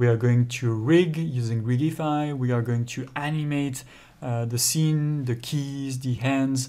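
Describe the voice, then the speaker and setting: Speaking at a fairly slow pace, a man with a French accent uses fairly even intonation and a dark, mellow tone. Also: medium pitch for a man. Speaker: 3D software tutor. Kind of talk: tutorial. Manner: hesitant, with frequent fillers.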